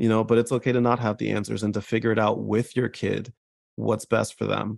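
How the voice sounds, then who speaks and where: A man with an American accent talks at medium pitch in a monotone, flat way. The background is quiet and the sound is dry and close, with no echo. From New Jersey. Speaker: mental health advocate and content creator. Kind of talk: interview conversation.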